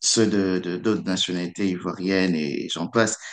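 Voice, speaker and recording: Against a quiet background, a man talks in a fairly low pitch with monotone, flat intonation. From DR Congo, Kinshasa. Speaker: student. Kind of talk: radio interview. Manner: halting, repeats words.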